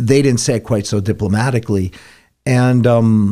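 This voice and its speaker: A man speaks at a fairly quick pace with an American accent, his tone dark and mellow and his pitch varying in an ordinary way. The recording is very clean, with a silent background. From Warwick, New York. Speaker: radio host. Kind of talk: casual chat. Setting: studio.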